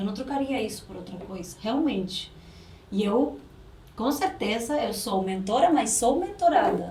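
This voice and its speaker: In a room with audible echo and noticeable background noise, a woman talks at a fairly slow pace with a fairly high pitch, very wide pitch swings and big swings in loudness. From Uruguay. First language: Spanish (speaking Portuguese). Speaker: lawyer and business mentor. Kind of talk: podcast interview.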